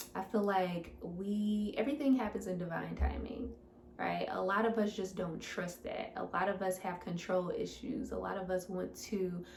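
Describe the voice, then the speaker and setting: A woman with a medium-pitched, somewhat breathy voice talks at a moderate pace, with audible room echo. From US Midwest, St. Louis, Missouri. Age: 20s. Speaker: fitness coach. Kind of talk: Q&A monologue to camera. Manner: casual, animated.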